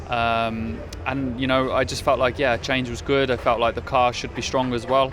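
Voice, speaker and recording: Noticeable background noise sits behind a man speaking at a moderate pace and medium pitch. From Birmingham, England. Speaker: racing driver. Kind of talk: interview. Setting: pre-season testing at a race track. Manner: halting, many fillers.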